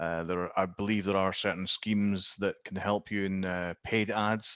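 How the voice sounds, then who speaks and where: At a moderate pace, a man with a Scottish accent talks in a fairly low pitch with a monotone, flat intonation and a dry, close sound with no echo. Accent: Scottish, noticeable. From Scotland. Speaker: digital marketing specialist. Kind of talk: Q&A answer in webinar. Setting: video call. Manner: halting, many fillers.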